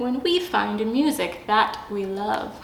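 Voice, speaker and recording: With clear background noise behind her, a woman does a put-on character voice, fairly high in pitch, at a fairly slow pace. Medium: read story. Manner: soft, gentle.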